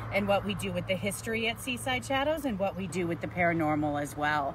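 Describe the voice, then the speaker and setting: A woman speaks at a fairly quick pace. The room echoes audibly, and there is noticeable background noise. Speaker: paranormal and history tour guide. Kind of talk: live outdoor talk to camera. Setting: outdoors at a monument in a traffic circle. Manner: loud.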